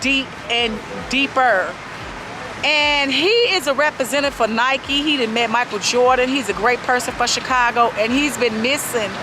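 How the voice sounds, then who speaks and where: Over music in the background, a woman uses a raised, projected voice at a high pitch and moderate pace, with ordinary pitch variation and very even loudness. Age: 40s. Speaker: vlogger. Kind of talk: casual vlog chat. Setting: outdoors by the lake.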